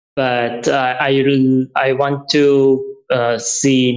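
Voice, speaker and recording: A man's fairly high voice with a Persian accent. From Iran. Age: 30s. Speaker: traveler. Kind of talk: interview. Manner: halting.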